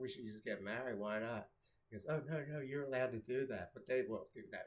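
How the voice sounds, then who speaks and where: Ordinary pitch variation and a fairly quick pace from a man. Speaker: vlogger. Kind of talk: casual monologue. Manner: loud; halting.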